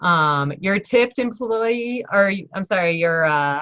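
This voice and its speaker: A woman's voice with very wide pitch swings. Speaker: online course instructor. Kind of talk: lecture. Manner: casual, upbeat.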